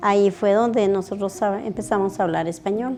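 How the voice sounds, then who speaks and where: There is music in the background. A woman speaks with a Guatemalan accent. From Guatemala, Totonicapán. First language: K'iche' (speaking Spanish). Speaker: weaver's wife. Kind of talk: interview.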